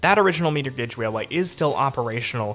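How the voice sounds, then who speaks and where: Over background music, a man with an American accent talks at a very fast pace, his pitch varying in an ordinary way. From US Northeast, Lancaster County, Pennsylvania. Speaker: travel YouTuber. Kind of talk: casual Q&A monologue. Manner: over-enunciated, crisp consonants.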